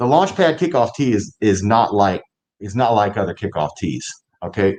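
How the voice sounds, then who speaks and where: A man with an American accent speaks in a plain, everyday voice at a fairly low pitch. He keeps a moderate pace and lively intonation. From Ohio. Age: 60s. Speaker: inventor and kicker. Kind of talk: interview.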